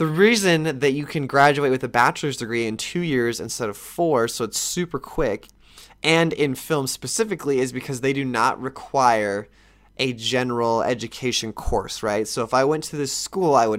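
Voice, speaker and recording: A man talks in a normal speaking voice at a medium pitch. His pace is moderate and his pitch varies in an ordinary way. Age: 20s. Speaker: podcast host, aspiring film director. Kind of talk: casual solo podcast monologue. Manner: casual, filler-heavy.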